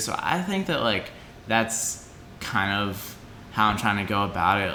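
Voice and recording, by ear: A man with a fairly low pitch speaks in a bright, sharp tone, with audible room echo.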